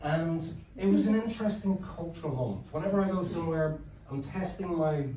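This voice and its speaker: With an Irish accent, the speaker moves at a fairly quick pace. Noticeable background noise and audible room echo fill the recording. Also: man. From Ireland. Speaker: stand-up comedian. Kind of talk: stand-up. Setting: stage with audience.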